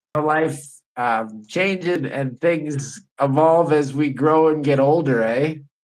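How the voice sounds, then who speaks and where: In a room with audible echo, a man with a Canadian accent speaks at a very slow pace and fairly high pitch, with ordinary pitch variation. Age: 50s. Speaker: podcast host. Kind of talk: casual chat.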